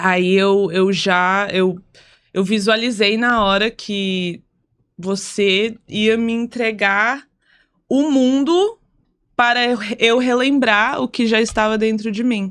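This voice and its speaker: Speaking with a non-native accent at a very slow pace, this voice leaves long, frequent pauses on a very clean recording with a silent background. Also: woman, fairly high pitch for a woman, ordinary pitch variation. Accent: foreign, non-native Portuguese. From United States. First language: English (speaking Portuguese). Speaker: singer and content creator. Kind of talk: casual podcast chat.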